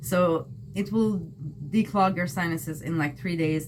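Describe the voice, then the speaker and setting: Speaking with a non-native accent, a woman is heard against noticeable background noise. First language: not English. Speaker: tarot and astrology reader. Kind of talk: tarot reading. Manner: casual, conversational with fillers.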